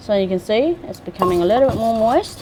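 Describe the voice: A woman's slightly mellow voice with lively intonation at a moderate pace, over faint background noise.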